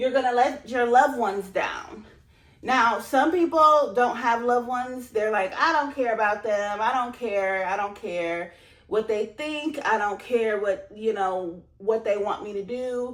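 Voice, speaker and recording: A woman speaks at a fairly slow pace with a fairly high pitch. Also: ordinary pitch variation. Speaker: self-help vlogger. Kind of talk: motivational talk. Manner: loud; animated.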